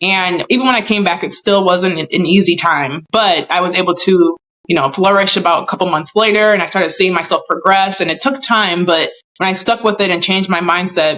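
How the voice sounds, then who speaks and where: A woman with a normal speaking voice, medium in pitch, with ordinary pitch variation and a fairly quick pace. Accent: American. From USA. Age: 30s. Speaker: professional athlete. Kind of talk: interview.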